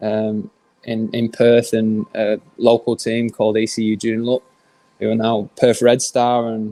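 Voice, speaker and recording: In a monotone, flat intonation, a man speaks at a medium pitch. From northern England, Manchester. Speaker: professional footballer. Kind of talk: podcast interview.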